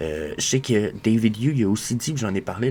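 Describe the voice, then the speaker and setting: Amid noticeable background noise, a man talks at a fairly quick pace with a fairly low pitch. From Quebec. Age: 20s. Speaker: crypto collectibles show host. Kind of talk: casual solo commentary. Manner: fast; hesitant, many fillers.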